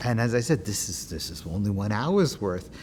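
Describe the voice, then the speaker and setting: The voice comes in a New York accent, with very wide pitch swings. Audible echo from the room surrounds it. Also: man. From Queens, New York City. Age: 60s. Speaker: oral history interviewee, activist. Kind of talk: oral history interview. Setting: synagogue.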